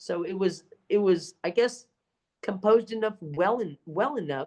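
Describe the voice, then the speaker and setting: Here is an ordinary speaking voice from a woman with an American accent. She is medium in pitch and keeps a moderate pace. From Texas. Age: 60s. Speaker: public speaking champion. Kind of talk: interview answer.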